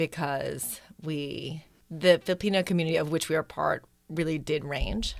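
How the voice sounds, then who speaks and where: On a very clean recording with a silent background, a woman with an American accent and a plain, everyday voice talks at a moderate pace, her fairly low pitch showing ordinary variation. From US Midwest, Wisconsin. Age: 40s. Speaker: novelist. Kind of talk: interview.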